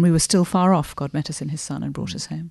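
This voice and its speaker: A woman's very deep, low voice with a British accent against a quiet background. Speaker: podcast co-host, theologian. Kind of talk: casual discussion.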